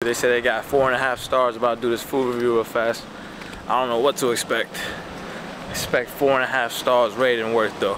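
Through noticeable background noise, a man talks at a fairly quick pace in a monotone, flat intonation, the sound dry with no echo. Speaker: food vlogger. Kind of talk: casual vlog chat. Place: street. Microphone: phone near.

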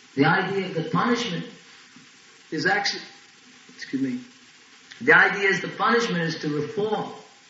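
A man's high-pitched voice with lively intonation, a fairly quick pace, long and frequent pauses, and audible room echo. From Ireland, Longford; Ireland. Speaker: Hare Krishna preacher; spiritual teacher. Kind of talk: religious lecture. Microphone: old recording.

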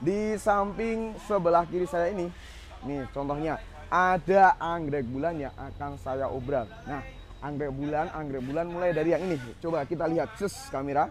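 At a moderate pace, a man speaks with ordinary pitch variation, in a dry sound with no echo and light background noise. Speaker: presenter. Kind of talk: product review vlog. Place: shop. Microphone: lapel.

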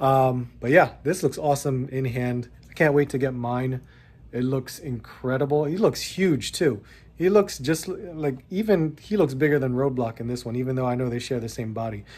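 His pitch shifts in an ordinary way. A man delivers his words at a moderate pace. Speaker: toy collector vlogger. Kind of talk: casual vlog chat. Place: home room. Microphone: phone near.

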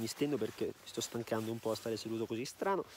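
Over light background noise, a man talks very fast with ordinary pitch variation in a dry sound with no echo. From Veneto, northern Italy. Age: 20s. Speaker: YouTuber. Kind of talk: casual Q&A vlog. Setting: outdoors on ski slopes. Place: open country. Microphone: phone near.

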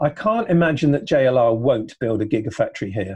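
A man speaks with an English accent and very wide pitch swings. Faint music plays in the background. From England. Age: 60s. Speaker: electric vehicle consultant; podcast guest. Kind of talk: casual chat. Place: home room. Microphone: video call.

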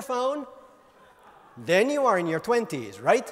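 Pitch swinging very widely, a man keeps a moderate pace as he talks. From Finland. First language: Finnish. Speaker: mobile industry author and speaker. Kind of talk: conference keynote talk. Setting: stage with audience. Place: hall. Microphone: handheld.

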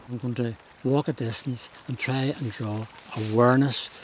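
A man with a Northern Irish accent speaks at a moderate pace and fairly even intonation. The sound is dry with no echo, over light background noise. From Northern Ireland. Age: 70s. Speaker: charity walker. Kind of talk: interview answer. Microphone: lapel.

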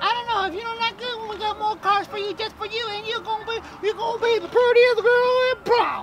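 An extremely high, put-on character voice at a fairly quick pace with hardly any pauses, over clear background noise. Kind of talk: improvised comedy skit, mock car-lot commercial pitch. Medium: role play.

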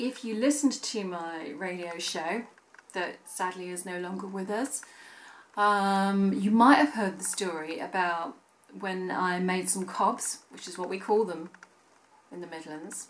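Against light background noise, a woman speaks at a fairly slow pace with ordinary pitch variation and big swings in loudness. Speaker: vlogger. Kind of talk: casual vlog chat. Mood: cheerful, amused storytelling. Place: home room.

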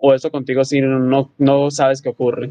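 Against a quiet background, a man with a fairly high voice speaks at a moderate pace. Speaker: podcast co-host. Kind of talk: interview. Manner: halting. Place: home room. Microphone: phone line.

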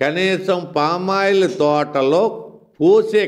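A high-pitched man talks with lively intonation in quiet surroundings. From Andhra Pradesh. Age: 60s. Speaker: election candidate. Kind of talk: campaign speech. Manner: animated. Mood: accusatory, indignant. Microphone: handheld.

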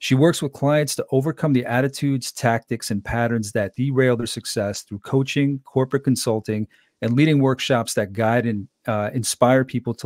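Hardly pausing, a man talks at a fairly quick pace with fairly even intonation, in a dry sound with no echo over a quiet background. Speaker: podcast host and leadership coach. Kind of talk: interview conversation. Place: home room. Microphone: studio mic.

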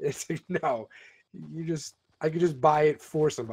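His pitch sits fairly high. This man's voice is also somewhat breathy. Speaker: gaming YouTuber. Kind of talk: casual chat. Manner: fast talker.

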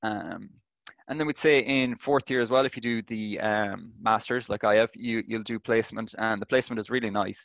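Very fast speech with an Irish accent and fairly even intonation, in a dry sound with no echo against a quiet background. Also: man. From Ireland. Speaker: engineering student. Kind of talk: presentation and Q&A answers. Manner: hesitant, many fillers. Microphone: webcam.

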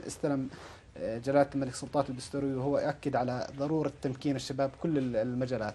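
A man talks at a moderate pace and a medium pitch. His tone is dark and mellow, his intonation monotone and flat. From Jordan. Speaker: youth program director at a development fund; interviewee. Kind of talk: TV news interview. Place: studio.

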